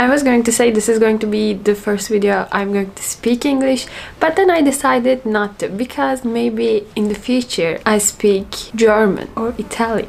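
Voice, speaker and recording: Against noticeable background noise, a woman with a fairly high pitch speaks at a fairly slow pace with ordinary pitch variation. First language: Turkish. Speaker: language learner vlogger. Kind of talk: casual monologue.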